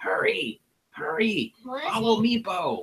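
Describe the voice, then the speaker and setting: Using a put-on character voice, a man talks very slowly in a raspy, high voice. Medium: actual play. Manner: broken grammar, talks of himself by name.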